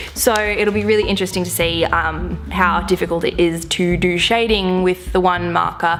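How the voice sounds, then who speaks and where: With music in the background, a woman with an Australian accent speaks at a moderate pace with hardly any pauses. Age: 20s. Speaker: artist vlogger. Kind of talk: casual talk to camera.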